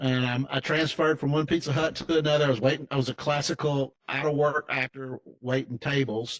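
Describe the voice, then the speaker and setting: With an American accent, a man speaks at a fairly quick pace and a fairly high pitch in a flat monotone, with a dry, close sound and no echo. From Tennessee, US South. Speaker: financial advisor. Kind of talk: interview storytelling. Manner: casual, halting with false starts.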